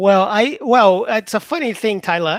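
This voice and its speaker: A man at a fairly slow pace in a very clean recording, silent in the background, dry and close with no echo. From Brazil. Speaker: English teacher. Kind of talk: live stream Q&A with chat. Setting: live stream. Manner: casual, halting with self-corrections.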